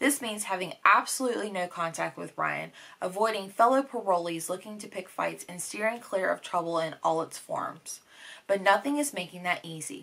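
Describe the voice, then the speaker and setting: A woman talks at a moderate pace with lively intonation and big swings in loudness. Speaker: book vlogger. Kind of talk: casual vlog chat. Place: home room.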